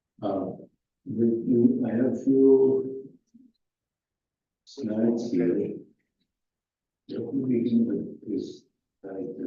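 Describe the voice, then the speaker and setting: With audible room echo, a man talks at a very slow pace in a medium pitch with vocal fry, ordinary pitch variation, and long, frequent pauses. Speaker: physicist giving a memorial lecture. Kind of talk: lecture.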